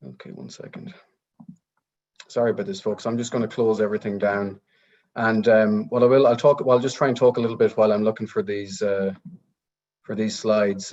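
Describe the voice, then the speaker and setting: A man with an Irish accent speaks at a fairly quick pace, with long, frequent pauses. His medium-pitched voice has ordinary pitch variation and big swings in loudness. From rural Ireland. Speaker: technology research director and speaker. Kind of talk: webinar talk. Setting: video call.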